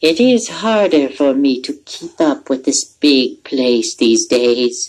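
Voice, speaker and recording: In a put-on character voice, the speaker goes at a fairly slow pace with a low-to-middle pitch. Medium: read story. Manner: gentle, friendly.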